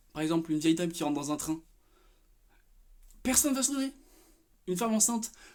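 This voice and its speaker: Very fast with long, frequent pauses, a man talks in an animated tone with very wide pitch swings. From France, Paris. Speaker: vlogger. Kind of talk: casual rant vlog. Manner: halting, many fillers.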